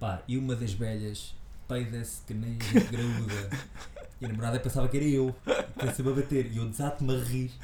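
Man with a European Portuguese accent, medium pitch and fairly even intonation at a moderate pace, with audible room echo and noticeable background noise. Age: 40s. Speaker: actor and comedian. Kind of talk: casual interview.

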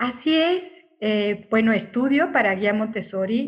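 Somewhat breathy, this woman's voice moves at a fairly slow pace. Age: 50s. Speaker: Montessori guide and psychotherapist. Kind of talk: casual interview.

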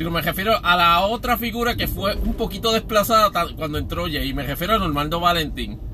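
Noticeable background noise runs beneath a man who speaks at a fairly quick speed. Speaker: podcast host. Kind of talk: solo commentary podcast. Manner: halting, many filler words.

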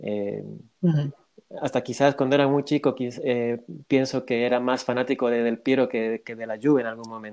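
In a normal speaking voice, the speaker goes at a moderate pace with fairly even intonation. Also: man, medium pitch for a man. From Bolivia. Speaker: football fan guest. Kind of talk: casual interview.

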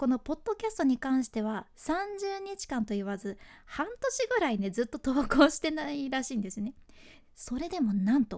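A high-pitched woman's voice with a Fukuoka accent, very wide pitch swings and a moderate pace. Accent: Hakata dialect. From Fukuoka (Hakata), Japan. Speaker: freelance announcer, podcast host. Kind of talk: solo podcast explainer.

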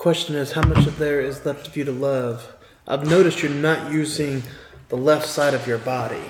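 Quiet speech at a moderate pace comes with audible room echo and noticeable background noise. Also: man. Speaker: streamer playing party game. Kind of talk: casual game chat with role-play.

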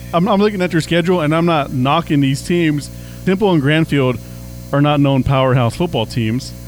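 Over music in the background, a man with a fairly high pitch speaks at a moderate pace, his pitch varying in an ordinary way. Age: 40s. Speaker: sports radio director and podcast host. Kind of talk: casual sports chat and interviews; scripted radio-style outro.

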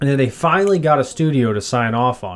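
Using a normal speaking voice, a man at a medium pitch talks at a fairly quick pace with lively intonation. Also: very clean recording, silent background. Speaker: podcast co-host. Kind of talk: casual chat.

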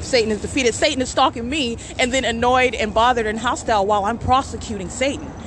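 A woman speaks very fast in a high, angry voice with fairly even intonation and hardly any pauses, over noticeable background noise. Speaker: podcaster documenting alleged stalking. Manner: angry, accusatory.

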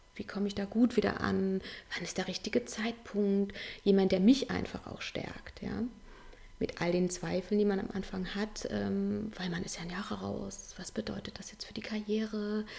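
Noticeable background noise sits behind a woman talking at a moderate pace. Her loudness swings widely. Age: 40s. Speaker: parenting and work-life coach. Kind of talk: casual interview.

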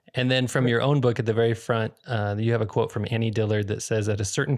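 A man with an American accent talks at a very fast pace and a fairly low pitch. The recording is very clean, with a silent background. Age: 30s. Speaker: podcast host. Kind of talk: interview.

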